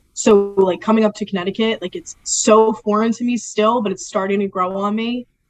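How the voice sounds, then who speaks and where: With a strong Philadelphia accent, a woman talks at a fairly quick pace with a fairly high pitch. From Philadelphia area, Delaware County, Pennsylvania. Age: 20s. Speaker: sports media production assistant. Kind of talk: casual interview. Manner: animated.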